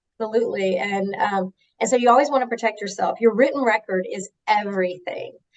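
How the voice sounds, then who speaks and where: A woman's fairly high voice in a Southern US accent, fairly quick in pace, with ordinary pitch variation. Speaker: HR executive. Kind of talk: interview.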